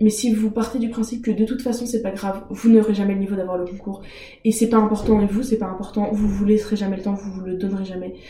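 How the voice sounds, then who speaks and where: Over noticeable background noise, a woman speaks in a fairly high pitch with monotone, flat intonation. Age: 20s. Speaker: master's student and former navy member. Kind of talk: interview.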